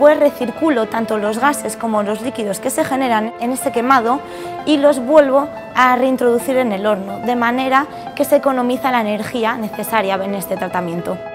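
A woman's fairly high voice at a moderate pace with ordinary pitch variation, clear music in the background. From Asturias, Spain. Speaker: chemical engineer, researcher. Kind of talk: interview answer. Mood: proud, warm. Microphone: lapel.

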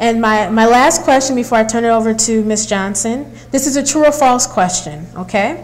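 Delivered at a moderate pace with hardly any pauses, the voice shows ordinary pitch variation. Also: woman. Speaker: rally emcee and moderator; rally emcee, moderator. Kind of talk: rally speech. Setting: live event with audience. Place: hall. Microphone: lapel.

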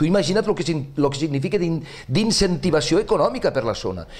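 This man speaks with lively intonation. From Ribera d'Ebre, Catalonia (Ascó); Catalonia. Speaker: novelist; interviewee. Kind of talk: interview. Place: studio. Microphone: lapel.

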